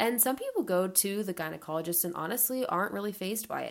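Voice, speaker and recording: Speaking very fast, a woman uses a medium pitch. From US South, Atlanta, Georgia. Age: 20s. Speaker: podcast host. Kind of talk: solo podcast monologue. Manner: casual, unscripted.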